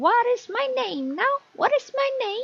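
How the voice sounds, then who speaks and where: A put-on, squeaky, female-sounding character voice at an extremely high pitch and a fairly slow pace. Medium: read story. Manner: taunting, sing-song.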